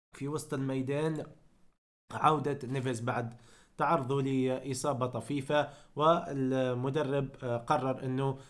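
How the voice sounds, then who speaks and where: A man speaks at a very slow pace, his pitch medium. The recording is very clean, with a silent background. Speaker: football YouTuber. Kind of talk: football analysis vlog. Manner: hesitant, many fillers.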